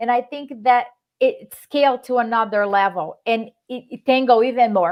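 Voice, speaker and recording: Moderate-paced speech from a high-pitched woman, with ordinary pitch variation and big swings in loudness. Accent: Brazilian. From Brazil. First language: Portuguese. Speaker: real estate investor. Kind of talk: live stream interview.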